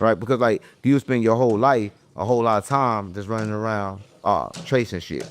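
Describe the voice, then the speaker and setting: The speaker has a St. Louis accent and talks at a fairly quick pace. Pitch variation is ordinary. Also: man. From US Midwest, St. Louis. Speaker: internet personality. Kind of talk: casual interview. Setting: content house. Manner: stumbles over words.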